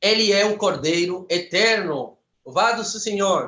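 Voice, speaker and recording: In a Spanish accent, a man speaks at a fairly slow pace. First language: Spanish (speaking Portuguese). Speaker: preacher. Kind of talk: sermon. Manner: fervent.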